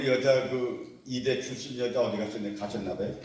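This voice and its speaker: Noticeable background noise and audible room echo fill the recording. The man speaks at a fairly slow pace. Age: 80s+. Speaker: retired civil servant and lecturer. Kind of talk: lecture. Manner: casual, conversational.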